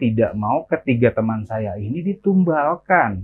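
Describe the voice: The clip consists of plain reading aloud.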